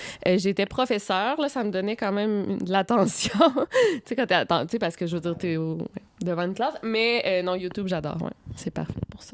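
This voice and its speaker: A woman with a Quebec accent, medium pitch and lively intonation at a fairly quick pace, over noticeable background noise. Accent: Québécois French. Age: 20s. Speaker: YouTuber and author. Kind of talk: interview. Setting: hotel room.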